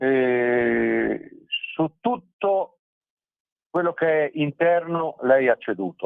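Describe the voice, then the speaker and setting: The man's delivery is very slow. He stops often for long pauses. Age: 60s. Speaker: journalist and writer. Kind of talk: radio interview.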